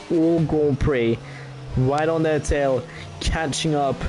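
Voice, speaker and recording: Music in the background behind a man's fairly high voice, fairly even in intonation. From France. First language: French. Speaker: sim racing commentator. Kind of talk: live commentary.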